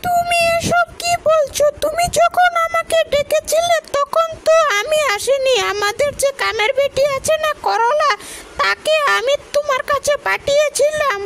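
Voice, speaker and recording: A woman does a cartoonish character voice at an extremely high pitch, speaking fairly slowly with very wide pitch swings and very even loudness, in a dry, close sound with no echo and light background noise. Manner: refined standard Bangla.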